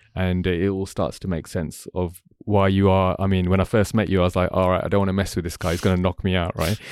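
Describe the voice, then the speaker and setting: A man with a London accent and a very deep, low voice, very fast with hardly any pauses, in a monotone, flat delivery on a very clean recording with a silent background. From London, England. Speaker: podcast host. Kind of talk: casual chat. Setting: studio.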